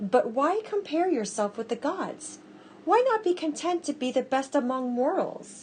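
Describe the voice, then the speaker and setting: A woman uses a put-on character voice pitched high. She talks at a moderate pace. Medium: read story. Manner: stern.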